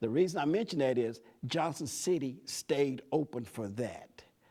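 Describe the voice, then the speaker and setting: The speaker has an East Tennessee accent, captured on a very clean recording with a silent background. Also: man. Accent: East Tennessee Southern US. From US South. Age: 70s. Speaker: community leader. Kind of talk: talk to students.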